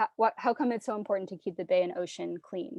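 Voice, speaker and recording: A woman speaks with a medium pitch and a dark, mellow tone. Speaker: environmental educator. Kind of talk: teacher workshop presentation. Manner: filler-heavy, repetitive starts.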